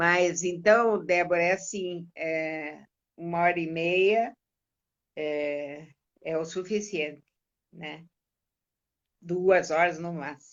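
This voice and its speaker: Very slow female speech, fairly low in pitch, with long, frequent pauses, fairly even intonation, and big swings in loudness. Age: 60s. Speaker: therapist and coach. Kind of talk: casual interview on a live stream.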